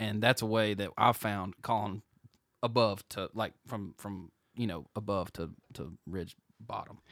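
In a dry, close sound with no echo, a man with an American accent speaks in a plain, everyday voice at a moderate pace with ordinary pitch variation. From New Jersey. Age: 30s. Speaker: podcast co-host. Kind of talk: casual chat. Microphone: too close to the mic.

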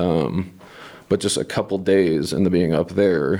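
A man's very deep, low pitch with a dark, mellow tone, vocal fry and a fairly slow pace. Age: 30s. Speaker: wildland firefighter. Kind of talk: interview.

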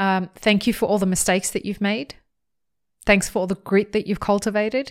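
An animated, enthusiastic woman talks at a fairly quick pace and a medium pitch. The recording is very clean, with a silent background. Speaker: podcast host. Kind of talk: interview conversation, podcast. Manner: animated, casual, enthusiastic.

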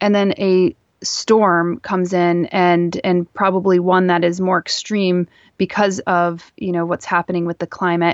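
In a dry, close sound with no echo, a woman speaks at a fairly slow pace with a monotone, flat intonation. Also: medium pitch for a woman. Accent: American. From US Northeast, northeastern Pennsylvania. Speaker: author and plant content creator. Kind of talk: interview.

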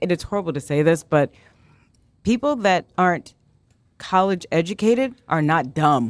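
In a dry, close recording with no echo, a woman with an American accent speaks at a moderate pace and a fairly low pitch, using lively intonation. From Arizona, US. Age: 40s. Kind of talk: casual interview chat.

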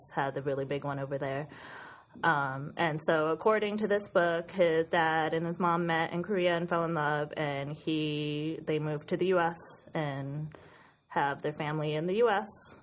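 With an American accent, a woman speaks at a moderate pace in a very deep, low pitch and fairly even intonation. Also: quiet background. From Western New York, US. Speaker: book blogger and podcast co-host. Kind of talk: casual chat. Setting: studio. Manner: distinctive laugh.

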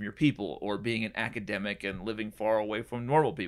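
Recorded very cleanly over a silent background, a man with an American accent speaks fairly quickly at a fairly low pitch with ordinary pitch variation. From US West Coast (San Diego and Puget Sound, Washington). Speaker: preaching trainer and former pastor. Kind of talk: casual interview. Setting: office studio.

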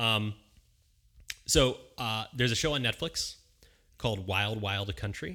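A man with an American accent and a bright, sharp tone, at a fairly slow pace with long, frequent pauses, in a very clean recording with a silent background. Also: medium pitch for a man, ordinary pitch variation. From Philadelphia area, Pennsylvania. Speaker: aspiring beer sommelier, educator. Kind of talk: casual interview chat. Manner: halting, many fillers.

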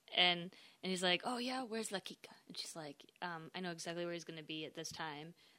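This woman's voice is fairly low in pitch with a bright, sharp tone, moving at a fairly quick pace with ordinary pitch variation. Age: 20s. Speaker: podcast guest. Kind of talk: casual chat.

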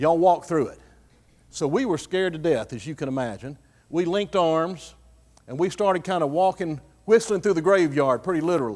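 A man with a Texan accent, high pitch and lively intonation, at a fairly quick pace, in a very clean recording with a silent background. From Texas, Fayette County. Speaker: guest speaker at a church. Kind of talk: sermon. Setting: church.

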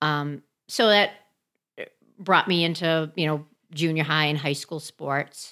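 With an American accent, a woman speaks at a fairly slow pace in a very deep, low pitch, her tone bright and sharp, her intonation fairly even, and her pauses long and frequent. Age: 50s. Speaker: CrossFit athlete. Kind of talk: casual chat. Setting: on location.

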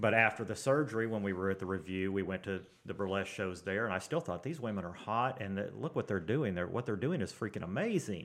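A man's fairly low voice with an American accent at a very fast pace, hardly any pauses and ordinary pitch variation, over a quiet background. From Tulsa, Oklahoma. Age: 40s. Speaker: heavy equipment operator. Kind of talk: casual chat.

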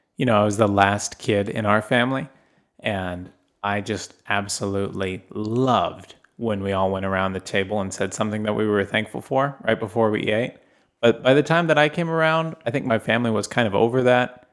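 A man with a fairly low pitch and ordinary pitch variation speaks in a normal speaking voice. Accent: American. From northern US, raised abroad in part. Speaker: podcast co-host. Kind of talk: casual chat.

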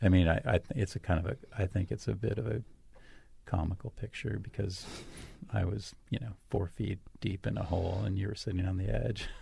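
At a fairly quick pace, a man talks in a very deep, low, dark and mellow voice with vocal fry. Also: ordinary pitch variation. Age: 50s. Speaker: host's romantic partner. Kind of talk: intimate casual conversation. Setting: radio studio.

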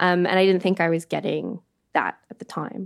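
In a Canadian accent, a woman uses a normal speaking voice at medium pitch and a moderate pace, the sound dry and close with no echo. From Canada. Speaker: arts manager. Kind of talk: casual interview chat. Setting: video call.

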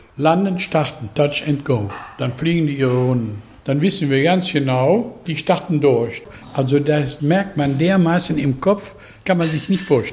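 A man talks with lively intonation. There is noticeable background noise behind him. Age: 80s+. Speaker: farmer, local resident. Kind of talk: interview.

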